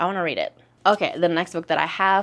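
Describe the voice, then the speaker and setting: A woman speaks with an Indonesian-American accent. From Indonesia, Jakarta. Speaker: book YouTuber. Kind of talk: book haul vlog, casual talk to camera.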